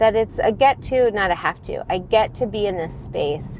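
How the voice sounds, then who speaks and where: A woman with an unremarkable speaking voice, fairly slow in pace, with ordinary pitch variation. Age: 40s. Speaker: podcast host and divorce coach. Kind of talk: casual monologue. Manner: chatty, with fillers.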